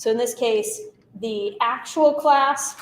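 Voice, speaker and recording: A woman speaks with audible room echo. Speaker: instructor. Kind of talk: lecture. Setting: class.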